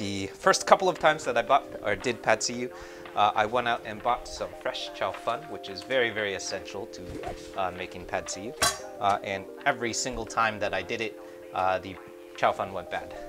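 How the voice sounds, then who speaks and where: Music plays clearly behind the speaker. He is a man talking at a moderate pace. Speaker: cooking streamer. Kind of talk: tutorial. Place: kitchen.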